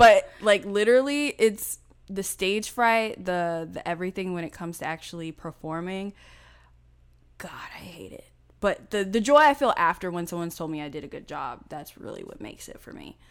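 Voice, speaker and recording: Using a normal speaking voice, a woman talks at a moderate pace with lively intonation in a very clean recording with a silent background. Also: medium pitch for a woman. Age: 20s. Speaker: podcast co-host. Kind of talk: casual chat.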